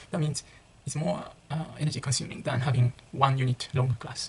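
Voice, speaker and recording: Speech at a fairly quick pace in a Japanese accent. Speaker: international student vlogger. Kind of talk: casual vlog monologue. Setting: residence room near common room. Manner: halting, self-correcting.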